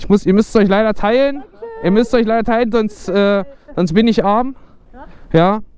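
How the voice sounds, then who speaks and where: A man's high-pitched voice at a moderate pace, with ordinary pitch variation and a dry sound with no echo. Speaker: motovlogger. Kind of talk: casual vlog chat. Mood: playful, joking. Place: street. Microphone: helmet.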